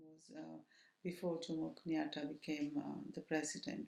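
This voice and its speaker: A woman's very deep, low-pitched voice with a dark, mellow tone, at a moderate pace. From Kenya, Nairobi. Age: 70s. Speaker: oral history interviewee. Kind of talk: oral history interview. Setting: at home. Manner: halting, many fillers.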